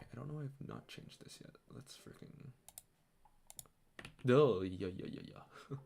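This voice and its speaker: Soft-spoken, a man talks with vocal fry and very wide pitch swings. His loudness swings widely, broken by long, frequent pauses. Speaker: streamer. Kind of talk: casual chat. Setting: home at night.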